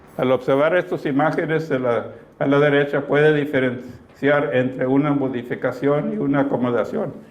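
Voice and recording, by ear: Amid audible room echo, a man speaks at a medium pitch and a moderate pace with fairly even intonation.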